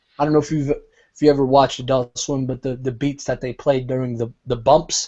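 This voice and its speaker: A man with an American accent, medium pitch. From US, Rhode Island. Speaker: rapper. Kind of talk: casual interview chat.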